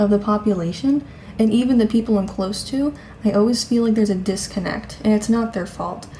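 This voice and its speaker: A woman at a fairly quick pace with fairly even intonation, over noticeable background noise. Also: fairly high pitch for a woman. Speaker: vlogger. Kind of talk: casual vlog monologue. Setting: at home.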